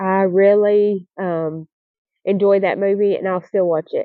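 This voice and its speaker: At a fairly slow pace, a woman with a Southern US accent speaks at a medium pitch in a flat, monotone way. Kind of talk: casual Q&A talk to camera.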